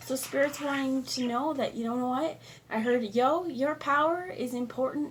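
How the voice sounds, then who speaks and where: Moderately paced speech from a woman, with noticeable background noise. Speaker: tarot reader. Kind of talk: tarot reading.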